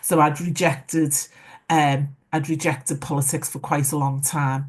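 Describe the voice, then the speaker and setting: With a Liverpool accent, a woman speaks at a moderate pace in a very deep, low pitch and monotone, flat intonation. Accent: Scouse. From Liverpool, England. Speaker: former mayor. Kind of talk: panel discussion. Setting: online webinar. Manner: hesitant, many fillers.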